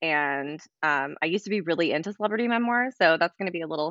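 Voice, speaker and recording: A woman with an unremarkable speaking voice talks at a moderate pace, her pitch fairly low. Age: 30s. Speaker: podcast co-host. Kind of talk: casual chat.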